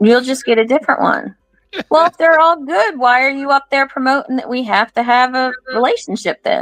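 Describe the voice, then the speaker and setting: In a high pitch and at a fairly quick pace, a woman speaks with ordinary pitch variation, the sound dry and close with no echo. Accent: American. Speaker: truck driver. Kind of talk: interview.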